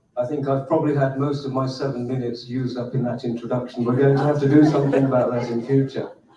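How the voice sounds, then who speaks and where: Over noticeable background noise, a man of medium pitch talks at a very fast pace with hardly any pauses. His intonation is monotone and flat. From United Kingdom. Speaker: community leader. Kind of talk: conference talk.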